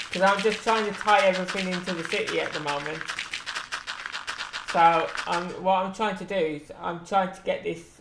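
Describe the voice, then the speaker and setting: The speaker holds a moderate pace as noticeable background noise carries on. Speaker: gaming streamer. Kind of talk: casual live-stream chat. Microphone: sometimes far from mic.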